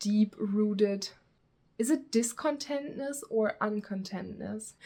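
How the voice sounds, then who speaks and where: Speaking very slowly, a woman's voice sits fairly high in pitch. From Germany. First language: German. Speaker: booktuber. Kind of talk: casual vlog talk. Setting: outdoors. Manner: casual, rambling with fillers.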